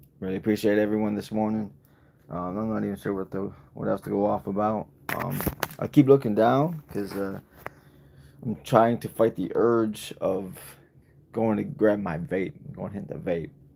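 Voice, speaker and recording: Fairly low-pitched man with an American accent, moderate pace, long frequent pauses and noticeable background noise. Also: ordinary pitch variation. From Michigan. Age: 30s. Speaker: vlogger. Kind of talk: live stream chat.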